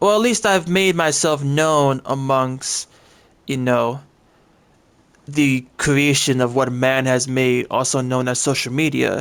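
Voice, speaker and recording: The speech comes at a very slow pace with very even loudness and ordinary pitch variation, in a very clean recording with a silent background. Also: man, medium pitch for a man. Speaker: gaming content creator. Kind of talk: casual commentary.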